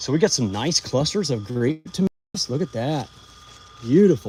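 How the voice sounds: With a dark, mellow tone and a slightly husky edge, a man speaks at a medium pitch and moderate pace, making big pitch swings.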